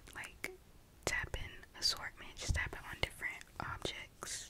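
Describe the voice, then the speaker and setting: A woman is whispering, taking a fairly slow pace. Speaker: ASMR creator. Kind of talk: soft whispered ASMR intro chat. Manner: soft close-mic ASMR intro voice. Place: home room. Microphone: studio mic.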